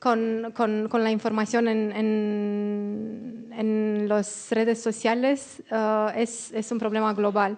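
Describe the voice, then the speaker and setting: Speaking at a very slow pace, a woman with a fairly high pitch talks with a non-native accent. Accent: non-native Spanish, still learning. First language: Romanian (speaking Spanish). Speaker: panelist, democracy communications expert. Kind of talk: panel presentation. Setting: auditorium with audience. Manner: halting, searching for words.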